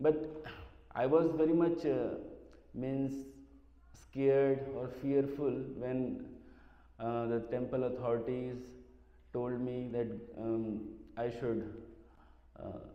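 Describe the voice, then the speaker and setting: Amid noticeable background noise and audible room echo, a man with a medium pitch speaks at a very slow pace with fairly even intonation and long, frequent pauses. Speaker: devotee, former secretary to a spiritual teacher. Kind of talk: memorial talk. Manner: halting.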